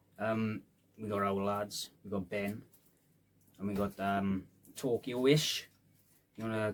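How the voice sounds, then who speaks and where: With a Welsh Valleys accent, a man with a fairly low pitch talks at a fairly slow pace, with fairly even intonation and long, frequent pauses. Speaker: rapper. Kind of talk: casual chat. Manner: casual, hesitant fillers.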